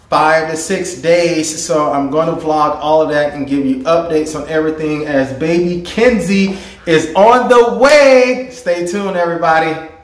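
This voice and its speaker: With hardly any pauses, a man speaks at a moderate pace and ordinary pitch variation, with audible room echo. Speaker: home DIY vlogger. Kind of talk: casual vlog chat. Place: bathroom.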